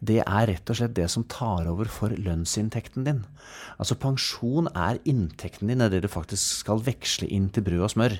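A man talks in an ordinary speaking voice at a moderate pace with ordinary pitch variation, on a very clean recording with a silent background. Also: fairly low pitch for a man. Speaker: pension economist. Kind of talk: casual interview about finance. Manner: jovial, laughs often.

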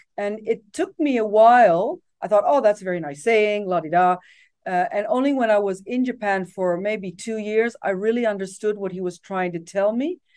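With lively intonation and a Dutch accent, a woman speaks at a moderate pace in a medium pitch against a quiet background. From Netherlands, raised partly abroad as expat child. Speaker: tech company executive. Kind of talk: interview.

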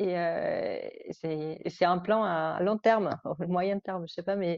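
The woman talks at a very slow pace. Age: 30s. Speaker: mother. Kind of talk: testimony. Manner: halting.

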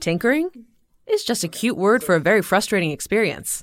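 Noticeable background noise sits under a woman's medium-pitched voice. She talks at a fairly quick pace with lively intonation. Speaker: podcast producer. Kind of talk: scripted narration.

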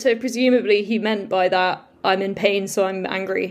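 In an RP accent, a woman speaks with fairly even intonation. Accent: Queen's English, received pronunciation. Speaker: luthier. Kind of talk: casual interview chat.

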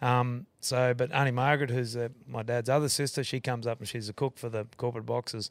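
On a very clean recording with a silent background, a man with a strong Australian accent talks at a fairly quick pace in a flat monotone at medium pitch. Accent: broad Australian. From Queensland, Australia. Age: 40s. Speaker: rodeo owner and concreter. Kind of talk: casual chat.

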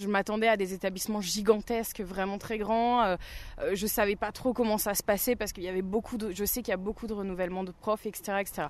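A woman speaks in an ordinary speaking voice. Her pitch is medium and her intonation fairly even. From Burgundy, France. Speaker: new teacher. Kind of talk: interview.

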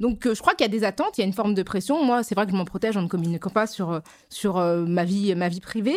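In a very clean recording with a silent background, a woman speaks at a very fast pace. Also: medium pitch for a woman, ordinary pitch variation. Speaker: journalist and anti-racism activist. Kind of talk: casual chat.

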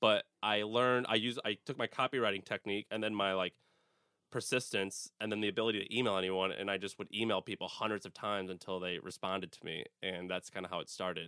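A man with an American accent speaks at a very fast pace in a fairly low pitch. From St. Louis, Missouri (US Midwest). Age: 20s. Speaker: entrepreneur, media company founder. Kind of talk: interview. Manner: energetic, enthusiastic.

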